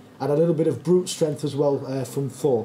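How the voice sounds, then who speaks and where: A man with a northern English accent speaks with fairly even intonation amid noticeable background noise and audible room echo. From northern England, Yorkshire. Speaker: conference speaker, tech company founder. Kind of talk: conference talk. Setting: stage with audience, filmed.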